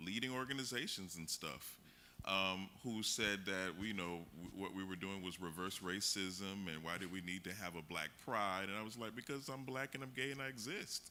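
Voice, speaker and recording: Speaking in an American accent, a man has a bright, sharp tone and a fairly low pitch. He talks at a moderate pace with ordinary pitch variation. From Miami, Florida. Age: 40s. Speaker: workshop facilitator. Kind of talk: community workshop discussion. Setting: museum event with audience.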